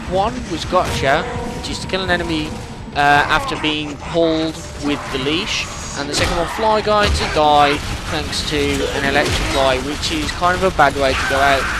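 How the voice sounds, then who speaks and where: Someone with a British accent talks at a moderate pace with ordinary pitch variation, amid audible room echo and noticeable background noise. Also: man, fairly high pitch for a man. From Britain. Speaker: gaming commentator. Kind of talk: post-recorded gameplay commentary. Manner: casual, rambling.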